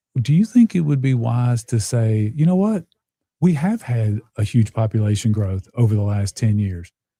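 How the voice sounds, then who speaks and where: A man with a medium-pitched, dark, mellow voice speaks at a moderate pace with lively intonation, a somewhat breathy quality, and a dry, close sound with no echo. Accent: Tennessee. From US South, Nashville, Tennessee. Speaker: podcast host. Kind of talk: casual interview chat.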